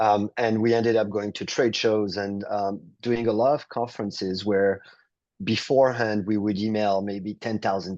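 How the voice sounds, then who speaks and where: A man with a French accent, fairly low in pitch, at a moderate pace against a quiet background. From France, South of France. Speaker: real estate entrepreneur. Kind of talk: interview.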